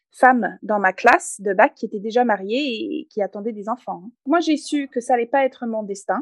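A woman's fairly high voice, lively in intonation, at a moderate pace with hardly any pauses, in a dry, close sound with no echo. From Canada, English-speaking north. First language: English (speaking French). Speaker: entrepreneur and author. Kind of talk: interview.

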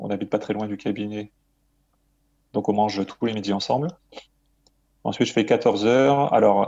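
This man has a dark, mellow tone and a fairly low pitch. His pace is moderate and his intonation fairly even. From Marseille, southern France. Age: 40s. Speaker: dental surgeon and author. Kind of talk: interview. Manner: hesitant with frequent fillers.

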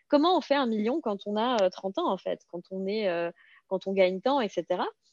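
Lively intonation marks this woman's fairly high voice, delivered at a moderate pace with a dry, close sound and no echo. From Alsace, France (Serbian-speaking immigrant family). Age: 30s. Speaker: blogger and property investor. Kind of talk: interview. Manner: halting, repeats words.

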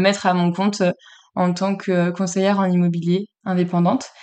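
Monotone, flat intonation in a woman's medium pitch. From France, Le Mans. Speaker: real estate agency founder. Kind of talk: interview.

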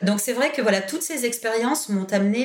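Her intonation is lively as a woman talks. Behind her, background noise is noticeable. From southern France, Toulon. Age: 40s. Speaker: education policy director. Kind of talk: interview.

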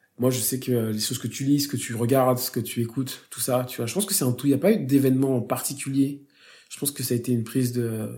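The voice is dark and mellow, somewhat breathy, with ordinary pitch variation. It moves at a very fast pace with big swings in loudness. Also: man, medium pitch for a man. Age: 30s. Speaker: advertising creative director and teacher. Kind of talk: casual interview chat.

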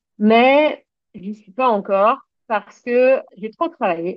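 A woman talks at a very slow pace. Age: 30s. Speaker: equestrian business owner. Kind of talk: personal testimony.

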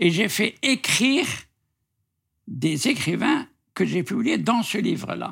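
Very slow speech from a man, on a very clean recording with a silent background. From Algeria. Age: 80s+. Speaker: writer. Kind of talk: interview. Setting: at his home.

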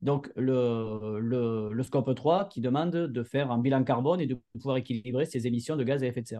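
In a Montpellier accent, a man speaks at a medium pitch with a dark, mellow tone and ordinary pitch variation. He moves at a moderate pace with hardly any pauses. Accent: southern French, Montpellier. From southern France, Montpellier area. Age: 40s. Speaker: entrepreneur. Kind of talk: interview. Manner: hesitant, many fillers and repeated words.

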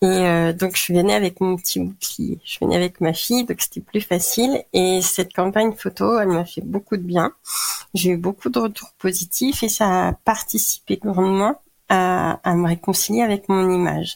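Recorded dry and close with no echo, a woman speaks at a medium pitch. She talks at a moderate pace with ordinary pitch variation. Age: 40s. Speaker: cancer patient and patient advocate. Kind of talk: testimony. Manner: hesitant, many fillers.

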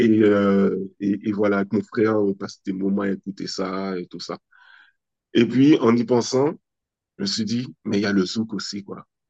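In a dry, close recording with no echo, a man with a dark, mellow tone and fairly low pitch talks at a fairly slow pace with fairly even intonation and long, frequent pauses. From French Antilles (Guadeloupe and Martinique). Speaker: entrepreneur, children's magazine founder. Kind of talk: interview.

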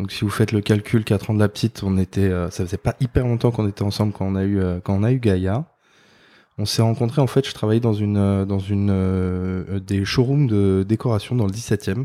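In a very clean recording with a silent background, a man speaks at a moderate pace in a dark, mellow tone. His pitch is fairly low, his intonation fairly even, and the sound is dry and close with no echo. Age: 30s. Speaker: father and furniture designer. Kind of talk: casual interview. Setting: office. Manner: halting, many fillers.

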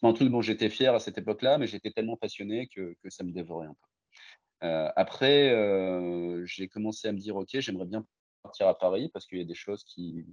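Speaking fairly quickly with ordinary pitch variation, a man has a plain, everyday voice. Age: 40s. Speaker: digital transformation consultant. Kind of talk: interview.

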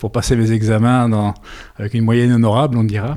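The man speaks at a moderate pace. His tone is dark and mellow. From Belgium, Brussels area. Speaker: winegrower. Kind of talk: interview. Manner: halting, many repetitions.

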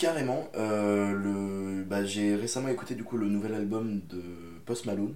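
At a fairly slow pace and with ordinary pitch variation, the voice comes through noticeable background noise and audible room echo. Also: man, fairly low pitch for a man. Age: young. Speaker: aspiring actor. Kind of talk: casual chat. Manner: halting.

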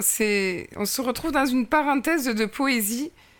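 Her voice is high-pitched, and the woman uses ordinary pitch variation. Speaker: podcast host. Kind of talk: interview.

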